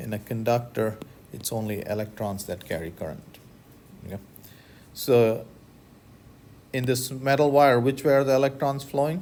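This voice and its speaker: A man of medium pitch talks at a moderate pace with ordinary pitch variation, long and frequent pauses, and big swings in loudness, with audible room echo around him. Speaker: physics professor. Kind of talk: lecture.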